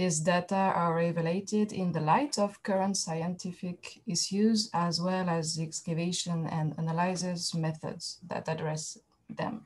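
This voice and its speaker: A woman with a French accent speaks at a fairly slow pace and a fairly low pitch, with hardly any pauses. Her voice is somewhat breathy and her intonation fairly even. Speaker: archaeologist. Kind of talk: academic presentation. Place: home room. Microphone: webcam.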